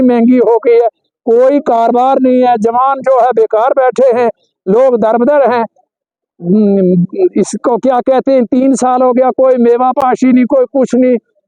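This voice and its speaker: A man speaks at an extremely high pitch in a dark, mellow tone. His intonation stays fairly even. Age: 80s+. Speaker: local resident. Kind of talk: street interview.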